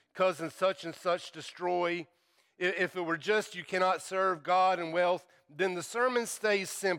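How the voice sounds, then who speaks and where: This speaker has a slight Southern US accent, a bright, sharp tone, fairly even intonation and a fairly slow pace on a very clean recording with a silent background. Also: man. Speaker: preacher. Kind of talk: sermon. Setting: church. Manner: humorous, joking.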